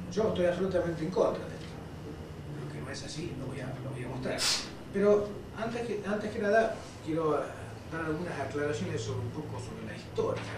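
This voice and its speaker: A man at a fairly quick pace, with big swings in loudness, audible room echo and noticeable background noise. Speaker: lecturer. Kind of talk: lecture. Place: hall. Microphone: camera far.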